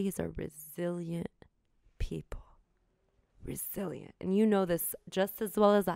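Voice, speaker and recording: With a dark, mellow tone, a woman speaks at a medium pitch and a fairly slow pace, her intonation fairly even and her loudness swinging widely. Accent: American. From Southern California, with teen years in Cairo. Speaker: human rights advocate and lawyer. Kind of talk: interview.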